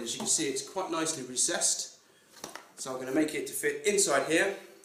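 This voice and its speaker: Over light background noise and with audible room echo, a man speaks at a fairly quick pace with ordinary pitch variation. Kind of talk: tutorial. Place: home room. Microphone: camera far.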